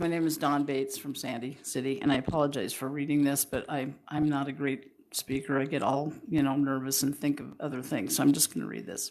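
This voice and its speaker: The voice belongs to a woman with a very deep, low pitch. She talks at a fairly quick pace. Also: hardly any pauses. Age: 70s. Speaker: public commenter. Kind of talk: public comment reading. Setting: council meeting.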